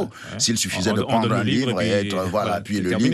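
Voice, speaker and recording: Through noticeable background noise, a man speaks with fairly low pitch and ordinary pitch variation. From Cameroon. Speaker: storyteller guest at a storytelling festival. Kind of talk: radio/TV interview answer.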